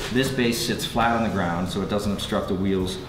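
Man's voice at a fairly quick pace with ordinary pitch variation, faint music in the background. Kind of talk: casual explanation. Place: workshop. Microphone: camera far.

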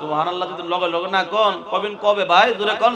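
With noticeable background noise behind it, the voice is raised and projected, shouting. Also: man. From Bangladesh, Narsingdi; Bangladesh. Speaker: Islamic preacher. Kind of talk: sermon. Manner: loud, shouting; animated. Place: stage. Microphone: podium.

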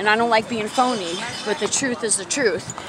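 Against noticeable background noise, a woman with an American accent speaks with fairly even intonation. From New York City, Bronx. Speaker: vlogger and mother. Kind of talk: casual vlog, confessional life story about family hurt and recovery. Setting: outdoors, walking uphill. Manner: conversational, halting with fillers, candid and earnest.

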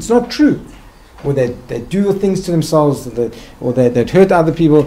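A man with a South African accent speaks with lively intonation. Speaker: psychiatrist and hospital director; guest lecturer. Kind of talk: lecture. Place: hall.

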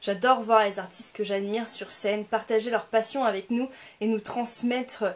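In a normal speaking voice, the speaker moves at a fairly slow pace with fairly even intonation. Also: woman. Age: 20s. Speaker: YouTuber. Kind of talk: vlog to camera. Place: home room. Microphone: phone near.

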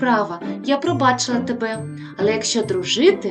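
Someone reads aloud plainly here.

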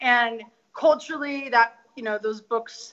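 With an American accent, a woman talks in an ordinary speaking voice at a fairly high pitch, using ordinary pitch variation and a fairly slow pace. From US West, Denver, Colorado. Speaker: author. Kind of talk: interview.

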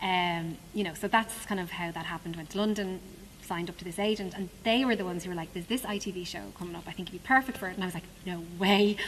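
A woman with an Irish accent talks at a very fast pace. Audible room echo and noticeable background noise surround her voice. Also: medium pitch for a woman, fairly even intonation. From Dublin, Ireland. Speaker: musical theatre actress. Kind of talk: interview. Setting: theatre stage.

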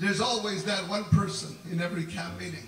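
A man raises and projects his voice in a room with audible echo while faint music plays in the background. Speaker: preacher. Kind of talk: sermon. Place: tent. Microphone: camera far.

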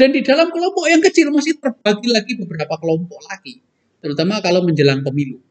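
A man speaks with very wide swings in pitch against a quiet background. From East Java, Indonesia. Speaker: professor and university rector; professor. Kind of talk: interview. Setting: studio. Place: hall.

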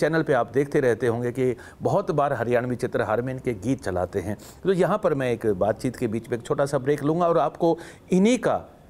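A man speaks with very wide pitch swings. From Haryana. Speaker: TV interview host. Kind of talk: show intro and outro; interview conversation. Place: studio. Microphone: lapel.

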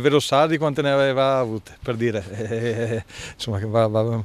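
A man speaks at a moderate pace. The sound is dry with no echo. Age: 50s. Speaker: football coach. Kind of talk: press interview. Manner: halting, many fillers. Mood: relaxed, smiling at times. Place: garden. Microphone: handheld.

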